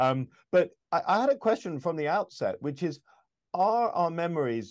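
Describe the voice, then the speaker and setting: With a British accent, a man speaks in lively intonation against a quiet background. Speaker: podcast host. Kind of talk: interview conversation.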